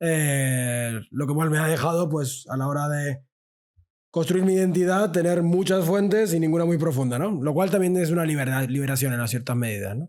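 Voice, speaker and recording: This man has an unremarkable speaking voice with a fairly high pitch. He moves at a moderate pace with ordinary pitch variation. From Argentina. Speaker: sociologist and podcaster. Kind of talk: casual interview chat.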